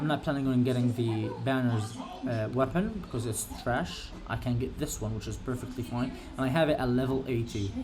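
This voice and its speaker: A man with a medium-pitched voice talks at a fairly quick clip, his pitch moving in an ordinary way. Noticeable background noise and audible room echo are present. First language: not English. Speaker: gaming streamer. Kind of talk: live gameplay commentary. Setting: live stream. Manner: halting, many fillers.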